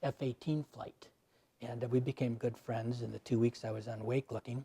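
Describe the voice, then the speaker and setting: Flat and monotone, a man speaks at a medium pitch with a dark, mellow tone. His voice is somewhat breathy, and the sound is dry and close with no echo. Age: 70s. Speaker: army veteran and volunteer remains-recovery searcher. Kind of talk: interview conversation.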